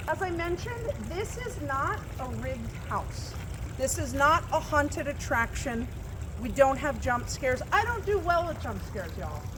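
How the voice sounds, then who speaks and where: Noticeable background noise runs through the clip. The talking proceeds at a moderate pace. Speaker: tour guide. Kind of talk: guided tour talk to a group. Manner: loud; animated.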